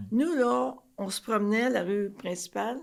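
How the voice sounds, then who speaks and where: A woman with a medium pitch and vocal fry swings her pitch very widely. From Quebec, Trois-Rivières. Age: 80s+. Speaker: retired flight attendant. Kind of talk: podcast interview, life story.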